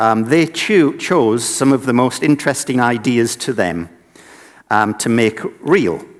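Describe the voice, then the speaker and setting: In a northeast English accent, a man at medium pitch speaks fairly slowly on a very clean recording with a silent background. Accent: northeast England (Sunderland). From northeast England (Sunderland). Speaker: inventor and designer running a children's invention project. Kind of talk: conference presentation.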